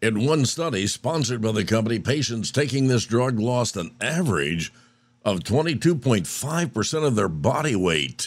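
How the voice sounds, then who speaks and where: A man talks at a moderate pace and medium pitch, his voice showing vocal fry. His pitch swings very widely. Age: 70s. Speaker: radio news and comment host. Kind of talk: radio news and commentary; devotional talk. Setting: radio studio. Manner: animated.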